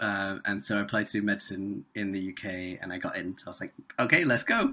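Speaking fast with a British accent, a man has a bright, sharp tone.

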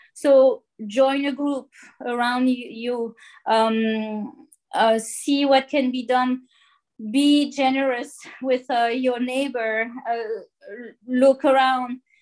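Against a quiet background, a woman with a French accent speaks very slowly at a high pitch, with fairly even intonation and long, frequent pauses. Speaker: marine plastic pollution scientist. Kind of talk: interview. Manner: hesitant, many fillers.

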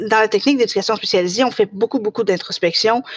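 In a Quebec accent, a woman speaks at a medium pitch, the sound dry and close with no echo. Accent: Québécois French. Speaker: special education technician. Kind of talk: casual interview. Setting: live recorded podcast.

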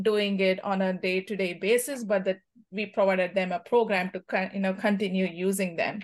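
This woman has an Indian accent and a medium pitch. Her intonation is monotone and flat. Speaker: cricket team captain. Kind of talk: podcast interview.

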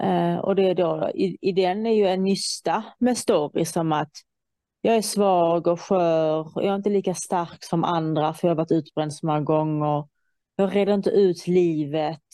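Against a quiet background, the voice has a dark, mellow tone, fairly even intonation, a moderate pace and very even loudness. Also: woman, fairly low pitch for a woman. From Iran. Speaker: guest in conversation. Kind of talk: casual chat.

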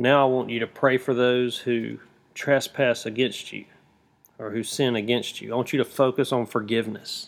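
A man speaks at a moderate pace and a medium pitch. His intonation is monotone and flat. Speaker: prayer guide teacher. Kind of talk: guided intercessory prayer, instructive.

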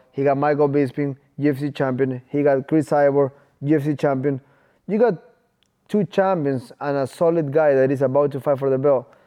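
This man has a normal speaking voice, fairly high in pitch, with fairly even intonation and a moderate pace. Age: 20s. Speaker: professional MMA fighter. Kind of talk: casual interview.

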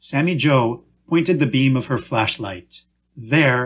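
Quiet surroundings and simple reading aloud

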